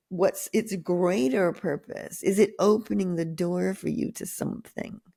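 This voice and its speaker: This woman talks at a fairly slow pace with ordinary pitch variation. Her tone is dark and mellow, with some vocal fry. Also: medium pitch for a woman. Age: 70s. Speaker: author and wellness speaker. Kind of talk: interview.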